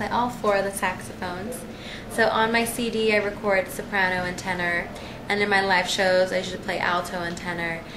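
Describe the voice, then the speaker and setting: Over noticeable background noise and with audible room echo, a woman talks at a fairly quick pace in a medium pitch with fairly even intonation. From Mexican-American, Texas/Mexico family. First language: Spanish. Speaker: jazz saxophonist. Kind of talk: interview.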